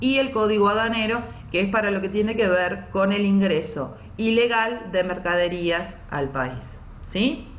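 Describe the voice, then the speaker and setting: A woman at a medium pitch, fairly slow in pace with lively intonation, amid audible room echo and noticeable background noise. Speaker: teacher. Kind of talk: online lecture.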